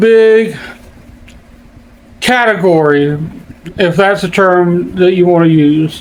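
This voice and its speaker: A man's pitch varies in an ordinary way as he talks amid noticeable background noise and audible room echo. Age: 50s. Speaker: YouTuber. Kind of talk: casual vlog monologue. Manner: halting.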